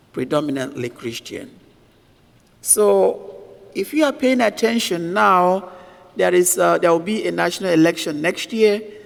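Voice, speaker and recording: Here a man speaks with a high pitch and very wide pitch swings, at a fairly slow pace. Noticeable background noise sits behind him. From Nigeria. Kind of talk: sermon.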